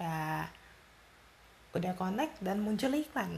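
A soft-spoken woman's fairly low voice with vocal fry, big pitch swings, a slightly mellow tone and a slow pace.

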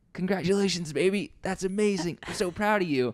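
A man puts on a strained, high-pitched character voice and talks at a fairly quick pace. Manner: strained, forced cheerful. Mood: warm, affectionate, proud.

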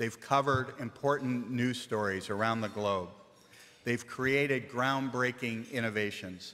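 Spoken at a fairly slow pace, the voice keeps a fairly even intonation. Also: man. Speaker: college dean. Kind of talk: award ceremony introduction. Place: hall. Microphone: podium.

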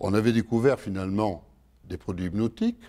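A man's medium-pitched voice with a dark, mellow tone, at a moderate pace over a quiet background. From France. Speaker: pharmacology professor. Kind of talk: lecture. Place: hall.

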